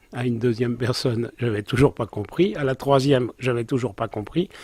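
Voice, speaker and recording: A man talks at a moderate pace in a somewhat breathy voice with ordinary pitch variation. The sound is dry and close, with no echo. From Alpes de Haute-Provence, France. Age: 70s. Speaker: olive grower, former photographer. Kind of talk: interview monologue.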